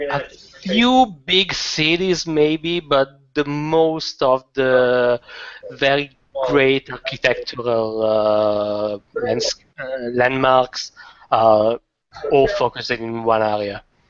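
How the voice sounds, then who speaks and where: With an Italian accent, a man speaks at a very slow pace and a medium pitch. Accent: Italian, sounds French. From Italy. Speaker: debate participant. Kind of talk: casual chat.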